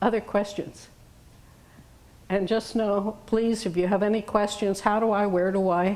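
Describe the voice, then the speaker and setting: At a moderate tempo comes an unremarkable speaking voice with an American accent. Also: woman. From New York. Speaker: retired teacher and hearing loss advocate. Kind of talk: lecture. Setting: room with audience.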